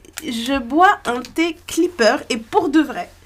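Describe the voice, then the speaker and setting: A woman talks with lively intonation at a very slow pace. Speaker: podcast co-host. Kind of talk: casual chat.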